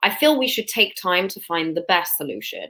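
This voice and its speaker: A woman talks at a moderate pace. Her voice has a bright, sharp tone. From London, England. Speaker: dental student. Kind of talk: interview.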